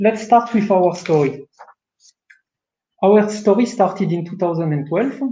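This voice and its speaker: Pausing long and often, a man with a French accent, a high pitch and a dark, mellow tone talks at a fairly slow pace with ordinary pitch variation. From France. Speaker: production manager. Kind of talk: webinar presentation. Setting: online webinar.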